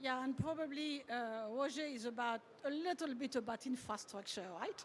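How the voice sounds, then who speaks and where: With a French accent, a woman speaks at a moderate pace in a high pitch with ordinary pitch variation. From France. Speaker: panel moderator. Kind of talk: panel discussion.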